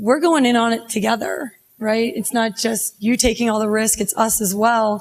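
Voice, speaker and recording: Her pitch is fairly high for a woman. She keeps a moderate pace and fairly even intonation. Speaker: bank loan officer. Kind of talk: panel discussion. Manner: loud.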